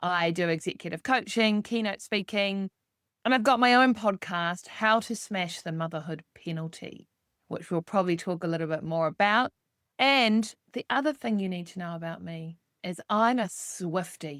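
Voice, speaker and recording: With a New Zealand accent, this voice comes through at a moderate pace in a dry, close sound with no echo, on a very clean recording with a silent background. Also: woman, medium pitch for a woman, ordinary pitch variation. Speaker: executive coach. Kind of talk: podcast interview.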